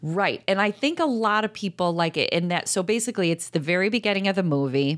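Words come at a very fast pace with lively intonation. Loudness stays very even throughout. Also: woman, medium pitch for a woman. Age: 40s. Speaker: podcast co-host. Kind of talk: casual chat.

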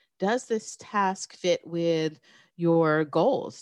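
In a New York accent, a woman with a fairly low pitch speaks with lively intonation against a quiet background, the sound dry and close with no echo. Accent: American, New York area. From New York State, small town north of the city. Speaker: business professor. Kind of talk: interview conversation.

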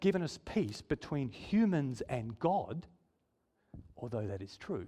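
At a fairly slow pace, a man's voice rises and falls in very wide pitch swings. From Israel. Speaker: preacher. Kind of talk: sermon. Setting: church.

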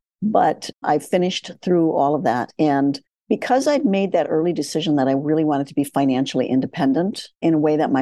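With an American accent, a woman speaks in a very deep, low pitch and a dark, mellow tone with ordinary pitch variation. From US Midwest, farm. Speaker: surgeon and financial educator. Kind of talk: interview.

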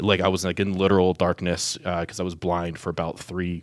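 A man with a Midwestern US accent, very deep and low in pitch, with monotone, flat intonation at a very fast pace, on a very clean recording with a silent background. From Ohio, Columbus area. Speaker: diocesan media staff. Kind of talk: interview testimony.

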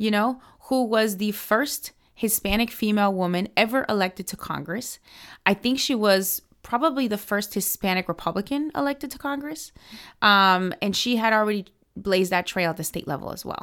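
In a very clean recording with a silent background, a woman with an American accent and a plain, everyday voice speaks at a medium pitch and moderate pace with lively intonation. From US, Miami. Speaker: political organization director. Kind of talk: interview.

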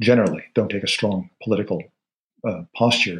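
Somewhat breathy, a man talks at a fairly quick pace with ordinary pitch variation. The recording is very clean, with a silent background. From Netherlands. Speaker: sociology professor. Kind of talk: interview conversation.

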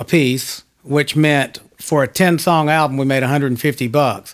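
Speaking at a moderate pace in an ordinary speaking voice, a man with an American accent has a fairly high pitch. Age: 50s. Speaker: session guitarist. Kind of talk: interview. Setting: home studio.

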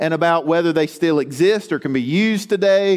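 A man's speech keeps a moderate pace, its pitch varying in an ordinary way. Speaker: pastor. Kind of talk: sermon. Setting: church.

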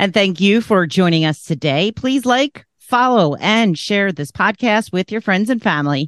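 An unremarkable speaking voice, this woman's medium-pitched delivery has lively intonation and hardly any pauses, with a dry, close sound with no echo and a quiet background. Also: moderate pace. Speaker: podcast moderator. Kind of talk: casual chat.

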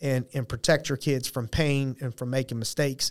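A man's normal speaking voice with an American accent, medium pitch, fairly even intonation and a fairly quick pace. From Youngstown, Ohio. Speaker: company CEO. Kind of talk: podcast interview. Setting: studio.

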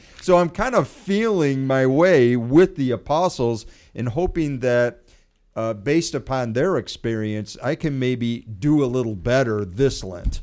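In a plain, everyday voice with an American accent, a man of medium pitch speaks at a fairly slow pace with lively intonation. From USA. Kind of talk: radio talk on faith.

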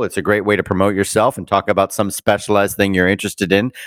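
The speech comes at a very fast pace. The sound is dry and close with no echo, recorded very cleanly against a silent background. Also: man. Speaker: entertainment journalist, podcast co-host. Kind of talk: casual banter, entertainment news podcast.

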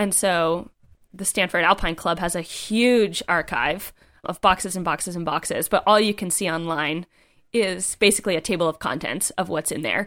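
A woman speaks in a normal speaking voice at a fairly low pitch and moderate pace, with ordinary pitch variation, in a very clean recording with a silent background. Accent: American. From US East Coast. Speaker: writer and climber. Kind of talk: casual interview.

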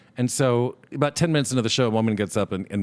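Talking very fast, the man shows ordinary pitch variation. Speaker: podcast co-host. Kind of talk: casual chat. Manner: animated.

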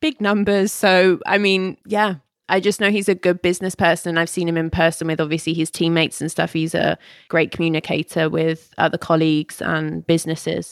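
In a very clean recording with a silent background and a dry, close sound, a woman with a fairly low voice talks fairly quickly in a flat monotone. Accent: English. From England, Ealing and Buckinghamshire. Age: 20s. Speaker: cosmetology student. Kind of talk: casual chat.

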